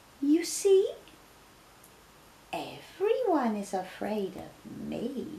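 In a put-on character voice, the speaker goes at a very slow pace with a raised, projected voice. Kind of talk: bedtime story. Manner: cheeky, boastful.

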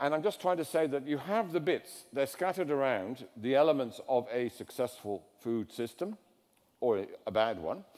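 Pitched fairly high, a man's voice swings very widely in pitch. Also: moderate pace. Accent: English. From England. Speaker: design theorist. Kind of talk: lecture. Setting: stage with audience.

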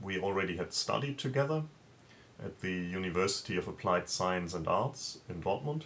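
With a German accent, a man speaks at a moderate pace, his pitch fairly low. His intonation is lively, and there is light background noise. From Germany. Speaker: comic creator. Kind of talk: video interview answer. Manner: halting, with filler words. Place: home room. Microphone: webcam.

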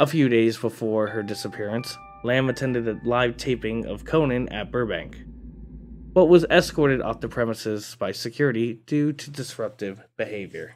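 Music plays behind a man whose pitch moves in an ordinary way. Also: moderate pace. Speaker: channel narrator. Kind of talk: true-crime storytelling narration.

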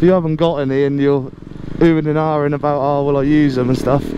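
Dry sound with no echo over noticeable background noise. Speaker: motorbike commuter vlogger. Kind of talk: casual vlog chat. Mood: relaxed, chatty. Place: motorbike. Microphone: helmet.

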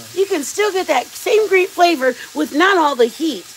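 Using a put-on character voice, the speaker goes at a moderate pace over clear background noise. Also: woman, extremely high pitch for a woman. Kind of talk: advertising pitch.

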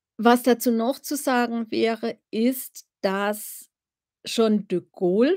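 A woman speaks in a relaxed tone with ordinary pitch variation against a quiet background. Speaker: royal-family commentator, live streamer. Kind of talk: casual live stream chat about royals. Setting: live stream, home. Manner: chatty, relaxed, informal. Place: home room. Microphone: webcam.

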